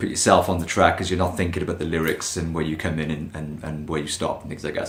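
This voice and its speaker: Speaking at a very fast pace, a man with a very deep, low pitch is heard with audible room echo. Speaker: singer answering fan questions. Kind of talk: casual Q&A to camera.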